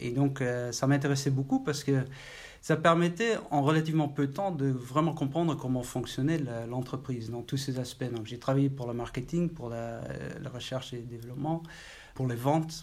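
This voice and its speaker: Somewhat breathy speech with a Dutch accent comes at a moderate pace with ordinary pitch variation. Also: man, fairly high pitch for a man. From Netherlands, Maastricht. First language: Dutch (speaking French). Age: 40s. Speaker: IT executive. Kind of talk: interview. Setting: office. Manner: halting.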